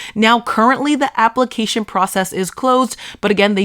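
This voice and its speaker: Speaking fairly quickly with a Boston accent, a woman uses a fairly high pitch and ordinary pitch variation. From Boston area, US. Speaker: social media marketing creator. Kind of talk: tutorial.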